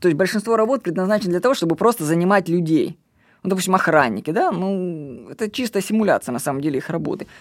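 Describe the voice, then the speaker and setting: Very fast and with lively intonation, a man speaks at a high pitch on a very clean recording with a silent background. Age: 30s. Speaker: podcast host. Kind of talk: solo commentary monologue. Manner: casual, conversational.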